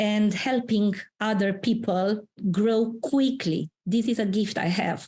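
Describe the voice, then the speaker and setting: A woman with a Romanian accent speaks in a somewhat breathy, medium-pitched voice at a fairly slow pace with fairly even intonation. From Romania, Transylvania. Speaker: career mentor and founder. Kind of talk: interview. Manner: hesitant, many fillers.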